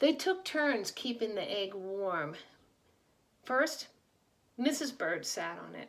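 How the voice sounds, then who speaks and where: A woman talks at a very slow pace. Her high voice swings very widely in pitch. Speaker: children's book reader. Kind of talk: reading aloud.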